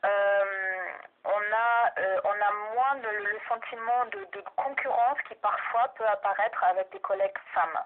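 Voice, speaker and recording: Very slow speech with ordinary pitch variation and big swings in loudness, over noticeable background noise. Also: woman, fairly high pitch for a woman. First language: German (speaking French). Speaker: researcher and university language teacher. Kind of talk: research interview. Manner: hesitant, many fillers.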